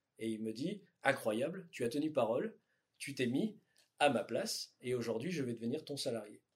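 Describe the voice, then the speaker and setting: A man's somewhat breathy, fairly high voice with lively intonation at a moderate pace. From southern France (Tarn), raised in northern France. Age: 30s. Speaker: electronics company founder. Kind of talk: interview. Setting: company offices. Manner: hesitant, many fillers.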